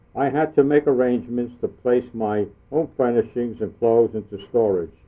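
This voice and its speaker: With a normal speaking voice, a man speaks in an American accent at a moderate pace, medium in pitch with ordinary pitch variation. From US Northeast, Brooklyn, New York. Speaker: war veteran. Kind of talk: reading aloud.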